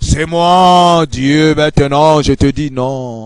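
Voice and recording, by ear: A man puts on a booming character voice with fairly high pitch. He speaks at a very slow pace.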